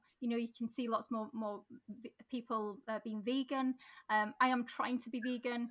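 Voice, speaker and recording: The voice has a Sheffield accent, a bright, sharp tone and fairly even intonation. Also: woman. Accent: Yorkshire (Sheffield). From South Yorkshire, Sheffield. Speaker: mayoral candidate. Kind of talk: interview.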